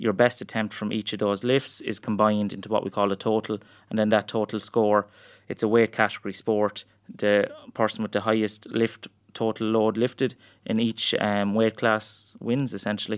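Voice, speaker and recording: A man with a rural Irish accent talks at a moderate pace and a fairly low pitch, his intonation monotone and flat. The background is quiet. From rural Ireland. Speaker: strength coach and powerlifter. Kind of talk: interview.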